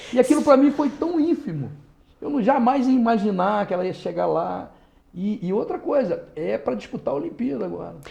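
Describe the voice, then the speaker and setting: Noticeable background noise sits under this recording. A man with a high pitch speaks with very wide pitch swings. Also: moderate pace. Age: 60s. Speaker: lawyer and former politician. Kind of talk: interview. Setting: podcast studio.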